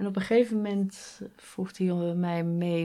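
At a very slow pace, a woman with a fairly low pitch and a dark, mellow tone speaks on a very clean recording with a silent background. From Netherlands, Rotterdam area. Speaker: graphic designer and illustrator. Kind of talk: interview, casual conversation.

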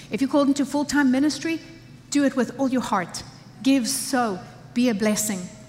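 Amid noticeable background noise, a woman speaks with an animated tone at a moderate pace and ordinary pitch variation. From Africa. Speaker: pastor. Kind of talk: sermon.

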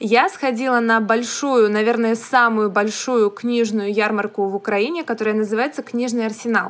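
A woman speaks with hardly any pauses in a fairly high voice, her intonation fairly even over noticeable background noise. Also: moderate pace. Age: young. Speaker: podcast co-host, young writer. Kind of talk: casual chat.

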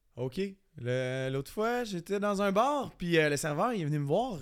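Over a silent background in a very clean recording, a man speaks with very wide pitch swings. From Acadia. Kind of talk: joke battle banter.

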